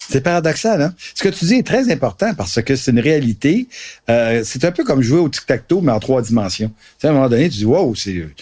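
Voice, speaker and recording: In a Quebec accent, a man with a dark, mellow tone makes very wide pitch swings on a very clean recording with a silent background. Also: medium pitch for a man, fairly quick pace. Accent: Québécois French. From Gaspésie, Quebec. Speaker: marketing professor and co-author. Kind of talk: casual discussion.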